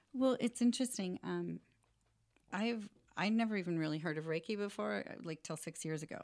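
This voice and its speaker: A woman talks in a plain, everyday voice at a medium pitch, her fairly quick delivery marked by lively intonation. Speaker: rent-to-own business owner and author. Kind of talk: podcast interview.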